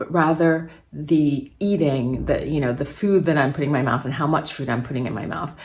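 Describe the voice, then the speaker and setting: Noticeable background noise sits behind a woman with a very deep, low pitch. She talks at a moderate pace with ordinary pitch variation. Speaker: fitness and weight-loss vlogger. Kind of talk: casual talk to camera.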